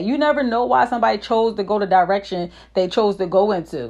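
Against a quiet background, a woman speaks very fast in a fairly high, animated voice with ordinary pitch variation. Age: 30s. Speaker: motivational podcast host. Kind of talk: motivational monologue.

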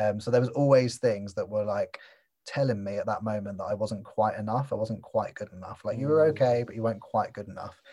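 A man with a dark, mellow, somewhat breathy voice speaks at a fairly quick pace and medium pitch. His pitch variation is ordinary, and his loudness swings widely. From Cornwall, England. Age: 30s. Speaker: personal development coach. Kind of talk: podcast interview. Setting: remote call.

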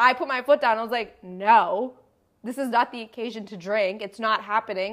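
A woman speaks in a plain, everyday voice at a fairly high pitch and a moderate pace. Her pitch varies in an ordinary way, while her loudness swings widely. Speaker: podcast co-host. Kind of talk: casual chat.

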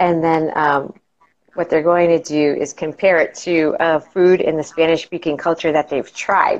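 A woman with an American accent talks at a moderate pace in a fairly low pitch, with fairly even intonation. She has a normal speaking voice. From New England, Massachusetts. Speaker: middle school teacher. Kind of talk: casual interview chat.

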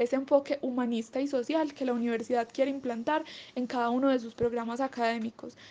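With a dark, mellow tone and a high pitch, a woman talks at a fairly quick pace with fairly even intonation. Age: 20s. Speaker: graphic designer and illustrator.

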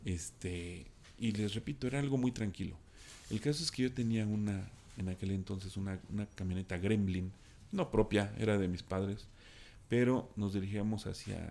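The man's voice is dark and mellow, pitched fairly low. He talks at a moderate pace. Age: 40s. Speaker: storyteller guest. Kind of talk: personal anecdote telling. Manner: halting, many fillers and repetitions.

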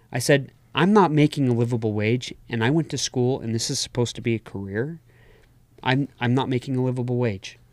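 With an unremarkable speaking voice, a man talks at a fairly quick pace and medium pitch, varying it in an ordinary way. The recording is very clean with a silent background. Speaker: podcast co-host. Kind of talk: casual chat.

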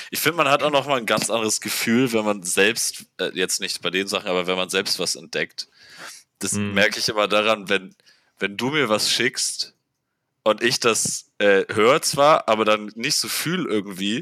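A man speaks at a moderate pace and fairly low pitch, with ordinary pitch variation and a bright, sharp tone. The recording is very clean, with a silent background. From northern Germany, Buxtehude area. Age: 20s. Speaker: podcast guest, hip-hop fan. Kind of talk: casual chat.

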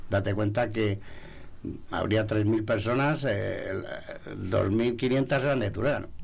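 Pausing long and often, a man speaks at a very slow pace and a medium pitch, with fairly even intonation, very even loudness and audible room echo. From Segovia province, Spain. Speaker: sommelier association president. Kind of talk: radio interview. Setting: radio studio.

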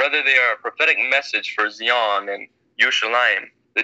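Quiet surroundings, fairly even intonation and a natural reading voice

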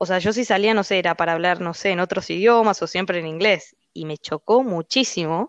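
A woman with an unremarkable speaking voice talks at a fairly quick pace with hardly any pauses, medium pitch and ordinary pitch variation, in a dry, close sound with no echo over a quiet background. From Argentina. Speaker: finance professional living abroad. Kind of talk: casual interview chat.

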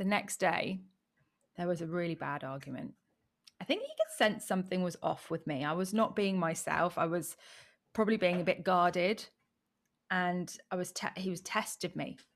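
An English accent, ordinary pitch variation and a moderate pace, with long, frequent pauses. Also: woman, fairly low pitch for a woman. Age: 30s. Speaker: online business coach. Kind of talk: interview. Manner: animated.

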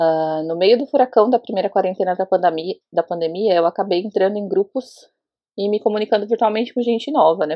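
Very fast delivery with ordinary pitch variation. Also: woman. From Brazil, Osasco, São Paulo. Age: 30s. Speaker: interviewee sharing personal experience. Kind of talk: testimony.

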